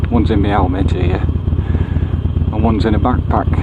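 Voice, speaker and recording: A mumbling man with an English accent, with audible room echo and noticeable background noise. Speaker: motorcycle vlogger. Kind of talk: casual vlog monologue. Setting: riding a motorcycle outdoors. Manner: hesitant, many fillers.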